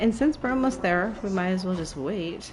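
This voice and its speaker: Soft-spoken but with lively intonation, a woman speaks at a medium pitch amid noticeable background noise and audible room echo. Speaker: gaming streamer. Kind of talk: live gameplay commentary. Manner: halting, filler-heavy; quiet, soft-spoken.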